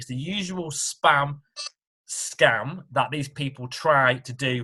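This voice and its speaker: A man's medium-pitched voice with a British accent, a bright, sharp tone and ordinary pitch variation. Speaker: tax accountant. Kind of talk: informational webinar talk.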